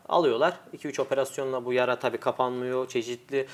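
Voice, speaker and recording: In an unremarkable speaking voice, a man talks at a fairly quick pace with fairly even intonation. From Turkey, Adana. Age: 20s. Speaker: world champion arm wrestler. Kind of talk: interview.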